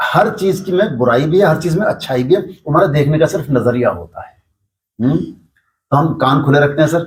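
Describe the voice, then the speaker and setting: This man's voice sits fairly high, with vocal fry and ordinary pitch variation. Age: 60s. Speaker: yoga teacher and local businessman. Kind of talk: interview.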